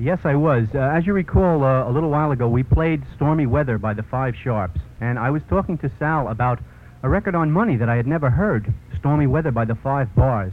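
Fairly quick delivery with a Brooklyn accent and lively, bouncing intonation. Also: man, medium pitch for a man. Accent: New York (Brooklyn). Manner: punchy, salesmanlike, clearly enunciated, hard-sell cheerfulness.

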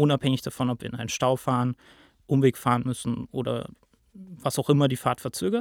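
In a dry, close sound with no echo, a man with a plain, everyday voice speaks at medium pitch with fairly even intonation. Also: fairly quick pace. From Lake Constance region, rural southern Germany. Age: 20s. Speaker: PR manager at a ride-pooling company. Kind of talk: podcast interview.

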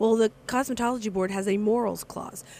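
Medium pitch and ordinary pitch variation in a woman's voice, a normal speaking voice. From moved around US (New York, Milwaukee, Texas). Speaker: state legislator. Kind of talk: casual interview. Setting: cafe.

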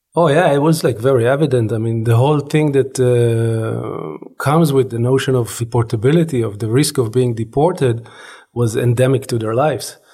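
Recorded very cleanly against a silent background, a man talks at a moderate pace in a dark, mellow, somewhat breathy tone with a medium pitch and ordinary pitch variation. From Israel. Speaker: anthropology professor. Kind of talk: interview.

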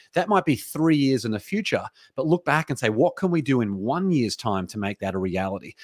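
Here is a man with an Australian accent. The recording is very clean and dry, close with no echo, over a silent background. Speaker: entrepreneur and author. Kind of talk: interview. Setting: studio.

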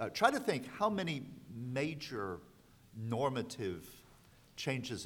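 Lively intonation at a moderate pace, with an American accent. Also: man. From US South. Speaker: law professor. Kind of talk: panel discussion.

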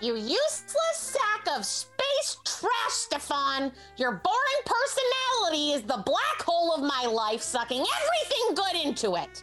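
With clear music in the background, a woman at an extremely high pitch makes very wide pitch swings while keeping very even loudness at a moderate pace. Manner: shrill, berating, contemptuous.

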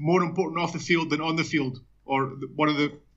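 In an Edinburgh accent, the speaker moves at a fairly quick pace with fairly even intonation. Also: man. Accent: Scottish (Edinburgh). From Scotland, Edinburgh. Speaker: journalist and author. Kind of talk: interview.

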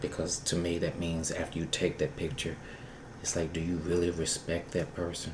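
Soft-spoken, a man talks at a moderate pace. His voice is very deep and low, with monotone, flat intonation. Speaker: performer and show producer. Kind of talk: casual interview chat.

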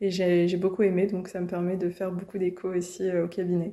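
The woman's tone is dark and mellow, her pitch medium. Her intonation is monotone and flat. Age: 20s. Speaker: medical resident. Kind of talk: interview. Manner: hesitant, many fillers and repetitions.

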